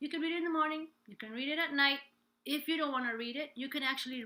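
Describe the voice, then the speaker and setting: A woman speaks in a raised, projected voice with a high pitch. Her pitch variation is ordinary. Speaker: life and business coach, singer. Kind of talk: live stream coaching talk. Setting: live stream from home.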